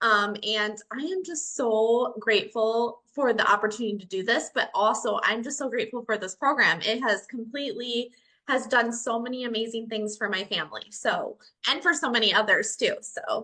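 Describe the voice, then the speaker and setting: With a Minnesotan accent, a woman talks at a fairly high pitch in a bright, sharp tone, her pitch varying in an ordinary way. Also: moderate pace. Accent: Minnesota. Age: 40s. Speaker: educator, program member. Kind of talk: testimony.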